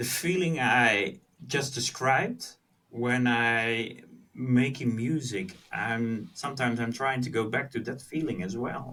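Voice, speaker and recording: With a Dutch accent, a man speaks very slowly in a bright, sharp tone at a medium pitch, his pitch varying in an ordinary way. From Netherlands. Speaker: music producer. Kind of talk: podcast interview. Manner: halting.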